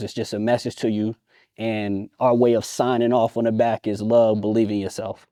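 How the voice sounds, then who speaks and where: A man with an American accent talks at a fairly quick pace in a dark, mellow voice of medium pitch. The background is quiet. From Virginia, Newport News. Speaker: clothing brand co-founder. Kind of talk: casual show-and-tell presentation. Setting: studio.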